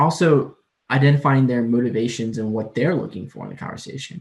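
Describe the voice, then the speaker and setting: The speaker has an American accent and a fairly quick pace with ordinary pitch variation. The loudness swings widely. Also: man. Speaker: admissions counselor, workshop presenter. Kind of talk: lecture. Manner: fast; words run together.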